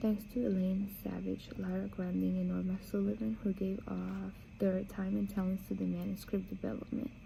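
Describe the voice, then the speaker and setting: A woman with a Spanish accent at a moderate pace, hardly any pauses in her speech. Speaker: book reader. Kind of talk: reading aloud; casual chat. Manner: halting.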